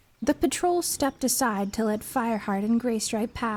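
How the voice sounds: The delivery is a natural reading voice whose pitch varies in an ordinary way.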